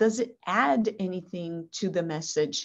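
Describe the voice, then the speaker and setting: A woman with a Portuguese accent speaks very slowly in a fairly low pitch against a quiet background. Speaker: language instructor with a PhD. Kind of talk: interview over video call.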